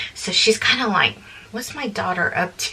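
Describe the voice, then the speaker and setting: A soft-spoken woman of medium pitch with lively intonation, amid noticeable background noise. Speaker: vlogger and family caregiver. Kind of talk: casual chat. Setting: home laundry room.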